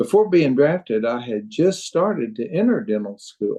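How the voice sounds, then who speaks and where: Speaking in a Southern US accent, a man has a dark, mellow tone. He goes at a fairly slow pace with ordinary pitch variation. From Arkansas. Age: 70s. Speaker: retired dentist and crossbow hunter. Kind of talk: podcast interview.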